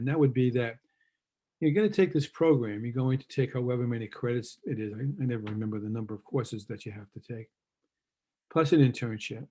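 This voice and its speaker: With a New York accent, a man talks at a very fast pace. His tone is dark and mellow, and his loudness swings widely. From New York City, Queens. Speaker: university lecturer, former school administrator. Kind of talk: lecture. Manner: casual, halting with fillers.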